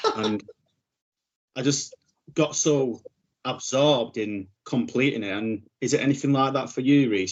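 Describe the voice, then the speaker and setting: At a moderate pace, a man speaks with a northern English accent. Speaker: podcast host. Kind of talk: podcast interview.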